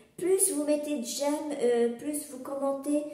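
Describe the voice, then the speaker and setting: A woman speaks at a fairly slow pace. There is audible room echo and noticeable background noise. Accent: slight Algerian. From Algeria. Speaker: knitting and crochet podcaster, pattern designer. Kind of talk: casual podcast monologue. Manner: hesitant, many filler sounds.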